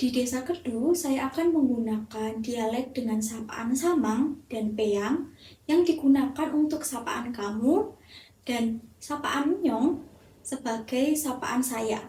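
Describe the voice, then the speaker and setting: A woman's dark, mellow tone, high in pitch, at a very slow pace with ordinary pitch variation. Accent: Central Javanese. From Central Java, Indonesia (Temanggung). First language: Javanese (speaking Indonesian). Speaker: university student. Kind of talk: class assignment presentation.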